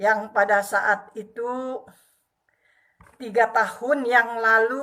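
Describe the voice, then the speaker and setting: Bright and sharp in tone, a woman speaks at a very slow pace and fairly high pitch with monotone, flat intonation. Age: 60s. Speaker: retired civil servant and female preacher. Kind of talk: testimony.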